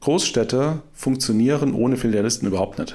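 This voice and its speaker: Speaking with a medium pitch, a man keeps to a moderate pace. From Saarland, Germany. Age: 40s. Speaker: startup co-founder. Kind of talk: interview. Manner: filler-heavy, hesitant.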